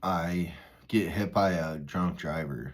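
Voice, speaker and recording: The intonation of the man's speech is fairly even. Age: 30s. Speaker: recovery vlogger, former pipeline worker. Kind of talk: casual monologue. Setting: walking outdoors, parking lot. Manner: rambling, conversational with fillers.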